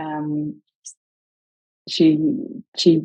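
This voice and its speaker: Her voice is very deep and low, and this woman speaks in a dark, mellow tone. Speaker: law firm operations executive. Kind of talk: interview.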